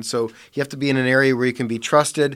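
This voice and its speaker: In a normal speaking voice, a man with an American accent talks fairly quickly at a medium pitch with fairly even intonation, in a very clean recording with a silent background. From US Midwest (Parma, Ohio). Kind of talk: casual chat.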